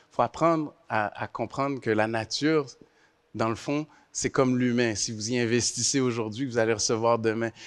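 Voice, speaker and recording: Fairly even intonation at a moderate pace. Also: man, medium pitch for a man. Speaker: university chancellor, panelist. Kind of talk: panel discussion. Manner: clear diction.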